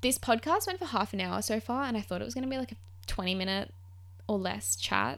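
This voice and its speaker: A woman talks at a very fast pace in an Australian accent. Her tone is animated. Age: 20s. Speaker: podcast host. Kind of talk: casual solo story time.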